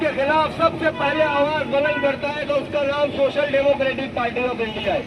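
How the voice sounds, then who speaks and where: A man's extremely high-pitched, monotone, flat delivery over crowd noise in the background. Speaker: political speaker. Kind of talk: political rally speech. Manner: aggressive, forceful.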